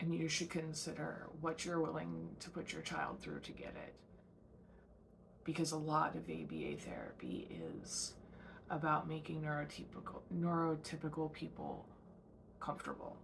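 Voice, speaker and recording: Audible room echo surrounds a woman speaking at a moderate pace. She leaves long, frequent pauses. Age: 30s. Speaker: podcast host. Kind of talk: casual monologue. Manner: hesitant, many fillers.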